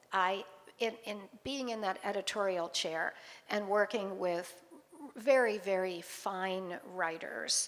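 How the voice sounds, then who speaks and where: A woman with an ordinary speaking voice talks at a medium pitch with ordinary pitch variation. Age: 60s. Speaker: author. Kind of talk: interview at book launch event.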